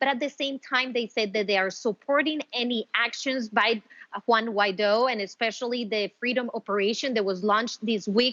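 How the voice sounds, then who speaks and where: A woman with a normal speaking voice talks at a moderate pace, fairly high in pitch. Her intonation is fairly even, and the sound is dry and close with no echo. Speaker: news correspondent. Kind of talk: live news report answering anchor questions.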